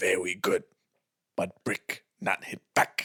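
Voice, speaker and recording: Using a put-on character voice, a man speaks in a raspy tone at a very slow pace. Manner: curt, menacing.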